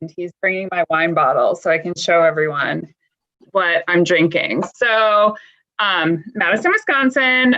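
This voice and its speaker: A woman delivers her words at an unhurried, moderate speed, her intonation lively, in a normal speaking voice. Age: 40s. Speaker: dry eye patient panelist. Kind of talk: casual panel chat.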